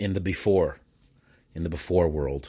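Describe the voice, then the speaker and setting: In a very clean recording with a silent background, a man with a Detroit accent speaks in a very deep, low voice with vocal fry, his tone animated and his intonation lively. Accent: Detroit-area American (East Dearborn). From Michigan (East Dearborn, Detroit area). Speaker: podcast host and importer of Mexican goods. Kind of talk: solo casual monologue. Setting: at home at night. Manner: halting, many fillers.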